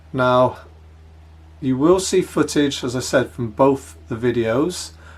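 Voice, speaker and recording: A man with an English accent speaks at a very slow pace with lively intonation. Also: medium pitch for a man. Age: 60s. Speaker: hiking vlogger. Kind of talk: casual vlog narration. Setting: home office, then outdoors.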